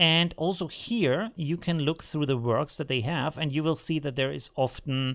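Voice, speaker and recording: A man with a normal speaking voice talks at a moderate pace with hardly any pauses, his fairly high pitch showing ordinary variation. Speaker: photo editing tutorial creator. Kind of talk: live stream tutorial. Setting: live stream.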